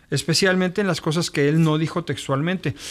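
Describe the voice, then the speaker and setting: On a very clean recording with a silent background, a man talks at a fairly quick pace and fairly high pitch. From Mexico City. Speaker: pastor. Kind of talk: podcast introduction monologue. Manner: halting.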